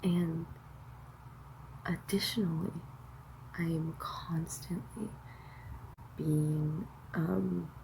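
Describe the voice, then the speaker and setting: A soft-spoken woman's voice. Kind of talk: casual talk to camera.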